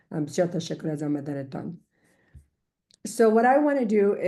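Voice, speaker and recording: Here a woman speaks with a dark, mellow tone. The background is quiet. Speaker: immigration attorney. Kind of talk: informational webinar presentation in English and Dari. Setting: video call webinar. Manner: fast.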